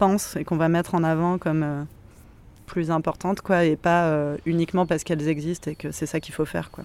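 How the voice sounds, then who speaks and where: The delivery is monotone and flat in intonation, at a moderate pace. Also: woman. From southern France, Montpellier. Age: 30s. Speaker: activist. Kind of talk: casual interview. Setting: outdoors in a cemetery.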